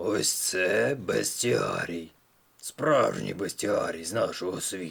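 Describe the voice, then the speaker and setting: In a put-on character voice, a man speaks raspily at a fairly low pitch and a fairly slow pace. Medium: read story.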